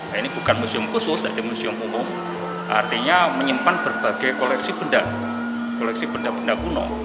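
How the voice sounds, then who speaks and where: Music plays in the background as a man talks at a moderate pace. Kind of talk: interview answer. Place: hall.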